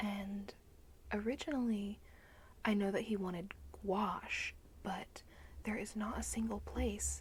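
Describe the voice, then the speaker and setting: A soft-spoken woman talks very slowly in a gentle tone. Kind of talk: ASMR haul video to camera. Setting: close-mic ASMR recording. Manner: soft-spoken, gentle.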